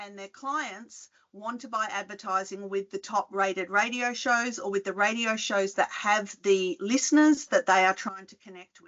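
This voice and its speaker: A woman with an Australian accent speaks at a medium pitch with ordinary pitch variation. Her loudness swings widely, and she leaves hardly any pauses. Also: moderate pace. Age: 50s. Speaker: retail researcher and podcast host. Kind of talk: conference talk. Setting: video call. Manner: conversational, hesitant with fillers.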